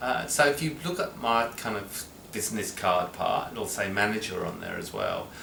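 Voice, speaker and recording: At a moderate pace, a man talks at a medium pitch with lively intonation, audible room echo and noticeable background noise. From London, England. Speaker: social worker and service manager. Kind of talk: interview. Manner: halting, many fillers.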